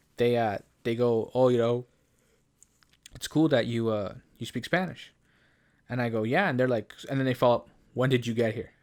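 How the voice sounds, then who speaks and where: In a Canadian accent, a man with medium pitch and ordinary pitch variation speaks at a moderate pace in an animated tone, leaving long, frequent pauses. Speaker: podcast co-host. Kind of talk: casual chat. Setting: studio with headphones. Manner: animated, many fillers and restarts.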